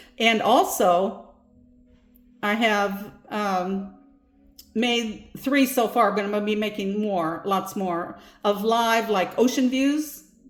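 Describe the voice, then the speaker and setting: A woman speaks with a fairly high voice and ordinary pitch variation, and audible echo fills the room. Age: 70s. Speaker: self-help video creator. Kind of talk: casual talk to camera about offerings. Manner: halting, with false starts; gentle, warm.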